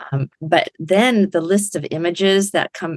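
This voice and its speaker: Against a quiet background, a woman with a fairly low pitch speaks in a dry recording with no echo. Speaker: poet and podcast host. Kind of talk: poem reading performed, emotive. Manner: emotive, tender. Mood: warm, appreciative. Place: home room. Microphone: webcam.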